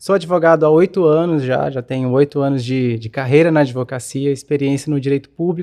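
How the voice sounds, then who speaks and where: Against a quiet background, a man speaks at a fairly quick pace with a fairly high pitch and a dark, mellow tone. His intonation is fairly even, and the sound is dry and close with no echo. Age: 20s. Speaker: lawyer. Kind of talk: podcast interview.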